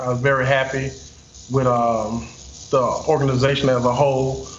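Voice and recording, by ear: With audible room echo, a man speaks at a medium pitch, his voice showing little pitch movement.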